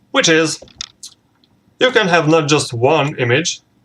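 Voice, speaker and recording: A man with a non-native accent, speaking at a fairly slow pace. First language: not English. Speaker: tech YouTuber. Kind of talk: tutorial. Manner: halting.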